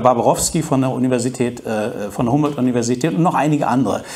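A man talks at a medium pitch with fairly even intonation. Noticeable background noise runs underneath. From East Germany. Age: 50s. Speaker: journalist. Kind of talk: talk to an audience. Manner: hesitant, many fillers.

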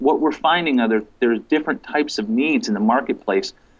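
A man with ordinary pitch variation. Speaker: remote guest. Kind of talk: interview answer. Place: home room. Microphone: video call.

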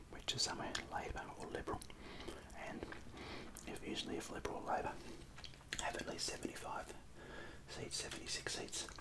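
The speaker whispers quietly at a fairly quick pace. Loud background noise runs underneath. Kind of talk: tutorial. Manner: quiet ASMR whisper, explaining calmly.

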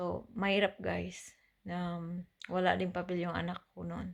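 A woman at a fairly slow pace, on a very clean recording with a silent background. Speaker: vlogger. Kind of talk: casual personal story to camera.

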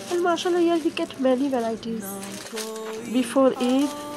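Ordinary pitch variation marks a woman's voice heard over noticeable background noise. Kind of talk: casual vlog chat. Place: home room. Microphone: phone near.

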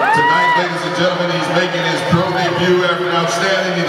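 A man talks over loud background noise, with audible room echo. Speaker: ring announcer. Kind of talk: formal ring announcement. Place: hall.

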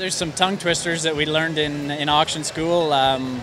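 The speech comes at a moderate pace with a monotone, flat intonation. Noticeable background noise runs underneath. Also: man, dry sound with no echo. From Alberta, Canada. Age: 20s. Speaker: livestock auctioneer. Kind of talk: interview answer. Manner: hesitant, casual. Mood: friendly, relaxed. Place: hall.

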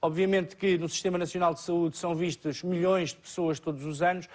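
With a European Portuguese accent, a man speaks at a moderate pace in a monotone, flat intonation. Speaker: TV show host. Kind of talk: TV talk show moderation. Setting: studio.

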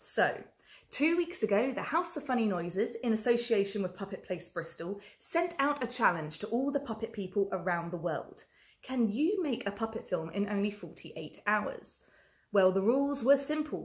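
The background is quiet as a woman speaks at a moderate pace. Her voice is somewhat breathy. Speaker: festival host. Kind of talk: presenter introduction. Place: workshop.

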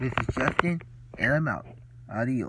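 Noticeable background noise underlies talking that proceeds at a moderate speed, its pitch varying in an ordinary way. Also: man. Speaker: reaction video youtuber. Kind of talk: casual reaction commentary to a video.

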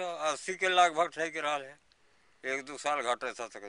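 The tone is bright and sharp, with lively intonation. Delivery moves at a moderate pace. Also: man. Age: 70s. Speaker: villager denied old age pension. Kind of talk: interview answer.

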